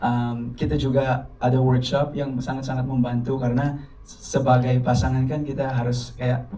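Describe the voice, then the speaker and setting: A man with a non-native accent speaks in a medium pitch at a moderate pace. Noticeable background noise and audible room echo surround him. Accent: non-native Indonesian. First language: English (speaking Indonesian). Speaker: actor. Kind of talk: press conference. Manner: halting, many fillers; code-switching English and Indonesian.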